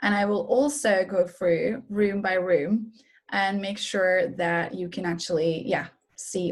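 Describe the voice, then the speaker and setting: A woman with a Norwegian accent talks at a fairly slow pace. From Norway. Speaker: wellness coach and massage therapist. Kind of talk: webinar presentation. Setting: online webinar.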